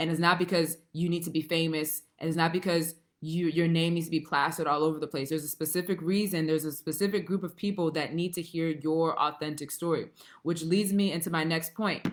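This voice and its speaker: Her pitch fairly low, a woman talks at a fairly quick pace. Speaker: writing coach. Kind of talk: live stream talk. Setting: facebook live stream. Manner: fast; animated.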